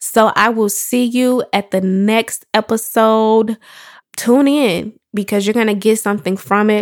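A woman with an American accent speaks in a plain, everyday voice at a fairly high pitch, fairly slowly and with fairly even intonation. Her loudness stays very even on a very clean recording with a silent background. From Chicago, South Suburbs. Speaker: podcast host and entrepreneur. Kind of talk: solo podcast monologue. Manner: casual, conversational.

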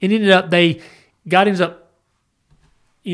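A man's voice in a Southern US accent. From US South. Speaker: podcast host, Bible study. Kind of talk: casual Bible discussion. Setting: studio.

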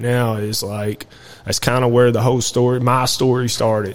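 In a Kentucky accent, a man talks at a moderate pace and medium pitch. His intonation is monotone and flat, over noticeable background noise. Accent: Kentucky Southern US. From central Kentucky. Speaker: military veteran. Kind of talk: casual interview.

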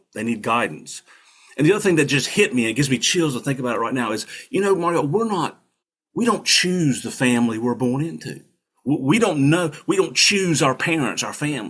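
A man in a North Carolina accent, fairly high-pitched, fairly quick, with lively intonation. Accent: Southern US (North Carolina). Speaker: Marine veteran and attorney, political candidate. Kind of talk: interview, casual storytelling.

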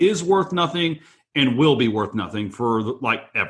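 A man with an American accent and an ordinary speaking voice talks at a moderate pace and a medium pitch. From Texas. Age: 40s. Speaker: real estate investor. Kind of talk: casual interview. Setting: remote call from home.

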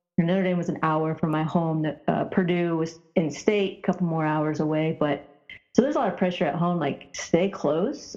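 Music plays behind a woman's voice. Her pitch varies in an ordinary way. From rural Indiana, US Midwest. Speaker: former professional basketball player. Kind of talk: interview.

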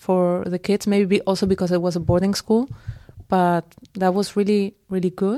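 A woman with a Spanish accent, medium pitch and a dark, mellow tone, speaking at a moderate pace with fairly even intonation in a dry, close sound with no echo. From Spain, Madrid. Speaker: teacher. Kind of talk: casual interview chat. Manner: hesitant, many fillers.

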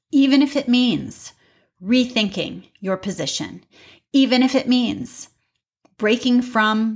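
A somewhat breathy woman with an American accent speaks at a very slow pace in a very clean recording with a silent background. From US Midwest, St. Louis County, Missouri. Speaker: podcast host. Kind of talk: solo monologue podcast.

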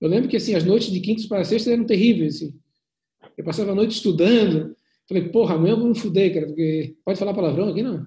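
Very fast and high-pitched, a man speaks with ordinary pitch variation. His tone is dark and mellow. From Brazil, Florianópolis (Santa Catarina). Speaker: plastic surgeon. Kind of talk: interview conversation. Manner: halting, many repetitions and fillers.

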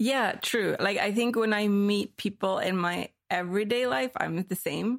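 With a plain, everyday voice, a woman talks at a medium pitch and a fairly slow pace with ordinary pitch variation and hardly any pauses, on a very clean recording with a silent background. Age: 30s. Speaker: artist. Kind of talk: casual chat. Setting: in-person recording in Berlin.

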